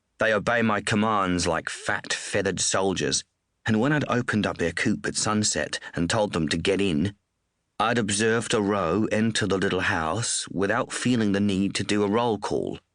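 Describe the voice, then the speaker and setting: Against a quiet background, a man with an Australian accent speaks at a moderate pace in a fairly low pitch, with ordinary pitch variation and very even loudness. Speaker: audiobook narrator. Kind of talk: audiobook reading of crime novel.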